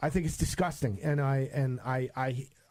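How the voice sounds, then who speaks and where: A man speaks in a fairly high voice with a dark, mellow tone and a somewhat breathy quality, with a New York accent. The recording is very clean, the background silent. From New York, Long Island. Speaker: radio host. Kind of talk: radio interview. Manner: animated.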